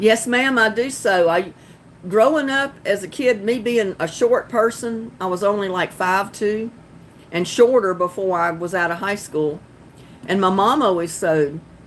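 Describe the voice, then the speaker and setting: A woman's medium-pitched voice in a Southern accent, with ordinary pitch variation, at a moderate pace. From North Carolina. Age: 40s. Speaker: gardening live streamer. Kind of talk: casual live stream chat. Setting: live stream on laptop. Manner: giggly.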